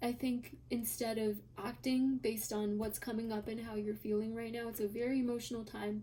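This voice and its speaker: A soft-spoken woman talks at a moderate pace. Her pitch is fairly high and her intonation monotone and flat. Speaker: tarot reader. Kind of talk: tarot reading video. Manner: quiet, soft-spoken.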